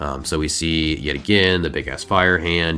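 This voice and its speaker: Music plays in the background. A man speaks over it in a very deep, low voice. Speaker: comic book storyteller host. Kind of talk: casual comic recap narration. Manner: casual, conversational.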